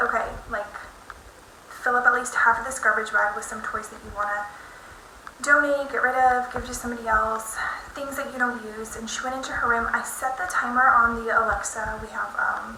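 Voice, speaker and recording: A woman whispers quietly at a fairly quick pace, her loudness swinging widely, amid audible room echo and noticeable background noise. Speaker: lifestyle vlogger and mom. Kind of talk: casual vlog chat. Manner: hushed, half-whispering; fast, filler-heavy.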